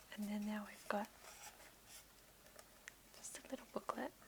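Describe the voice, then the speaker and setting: A woman whispering at a moderate pace. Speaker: ASMR creator. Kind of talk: ASMR unboxing. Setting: home office, headset microphone. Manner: whispered, soft-spoken.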